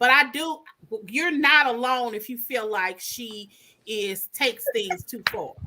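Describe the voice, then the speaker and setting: Loud and animated, a woman with a high pitch and a bright, sharp tone speaks at a fairly slow pace with ordinary pitch variation. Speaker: talk show co-host. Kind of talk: casual chat. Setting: livestream.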